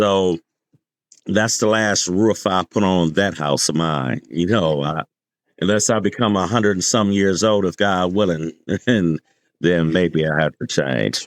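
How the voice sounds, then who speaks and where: Very deep and low-pitched, a man speaks at a fairly slow pace with ordinary pitch variation and very even loudness. The recording is very clean and dry, close with no echo, over a silent background. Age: 50s. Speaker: roofing contractor. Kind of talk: podcast interview.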